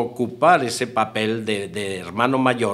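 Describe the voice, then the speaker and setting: A man speaks at a fairly slow pace with faint music in the background. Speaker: biographer interviewed in documentary. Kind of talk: interview answer.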